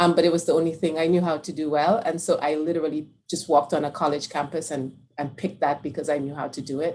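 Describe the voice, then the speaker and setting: The speaker has a Caribbean accent and a very fast pace. The intonation stays fairly even. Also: woman, very deep, low pitch for a woman. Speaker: infectious disease researcher. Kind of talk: panel discussion.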